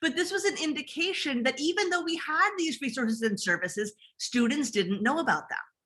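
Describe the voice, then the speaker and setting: A woman speaks high in pitch with very wide pitch swings and a bright, sharp tone. Her voice is raised and projected at a fairly quick pace. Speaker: academic librarian. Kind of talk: conference presentation.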